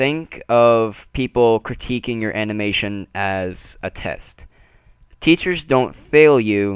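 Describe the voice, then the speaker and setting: Lively intonation marks this man's fairly low voice, recorded very cleanly against a silent background. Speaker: animation tutorial youtuber. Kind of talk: tutorial. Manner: casual, hesitant with fillers.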